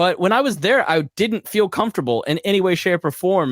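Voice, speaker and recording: Recorded dry and close with no echo, a man's voice comes through on a very clean recording with a silent background. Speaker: podcast host and consultant. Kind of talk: live Q&A monologue.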